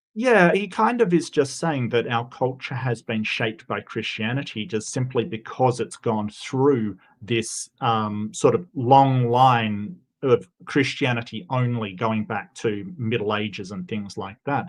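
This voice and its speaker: A man with an Australian accent, medium pitch and ordinary pitch variation, at a fairly slow pace with hardly any pauses. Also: quiet background. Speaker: debater, secular humanist. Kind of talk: debate.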